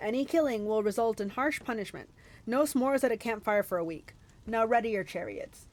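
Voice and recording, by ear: Ordinary pitch variation in a stretch of reading aloud in a natural voice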